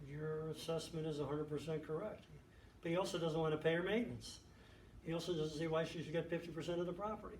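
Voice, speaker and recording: Speaking at a very fast pace, a man keeps his intonation fairly even and his pitch fairly high. Audible room echo and noticeable background noise surround him. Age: 70s. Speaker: judge. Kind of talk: interview talk.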